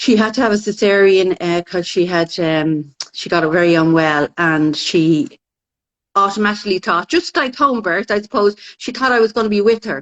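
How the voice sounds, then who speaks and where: A woman with a Dublin accent speaks at a medium pitch and moderate pace with lively intonation. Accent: Irish (Dublin). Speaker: midwife. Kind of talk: casual chat. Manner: loud.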